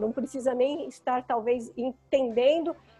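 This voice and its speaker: Music plays behind a woman speaking in a high voice with ordinary pitch variation. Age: 50s. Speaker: photographer. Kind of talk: interview.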